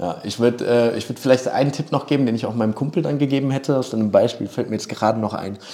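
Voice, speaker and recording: A man at a very fast pace in a medium pitch with ordinary variation, amid noticeable background noise. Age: 30s. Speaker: video producer. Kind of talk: interview. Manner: frequent filler sounds and hesitations.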